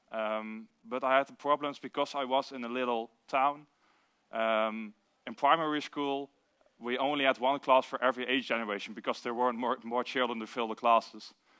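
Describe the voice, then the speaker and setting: A man with a Limburg accent, medium pitch and fairly even intonation, at a moderate pace. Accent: Dutch (Limburg) accent in English. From Netherlands, southern Limburg near Venlo. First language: Dutch. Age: 20s. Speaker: recovering addict speaker. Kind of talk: recovery share / testimony. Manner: halting, many fillers.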